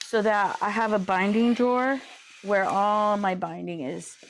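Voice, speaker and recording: A woman with a plain, everyday voice talks at a moderate pace, her fairly high pitch held to fairly even intonation. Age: 50s. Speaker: quilter. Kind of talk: live stream tutorial chat. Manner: casual, chatty.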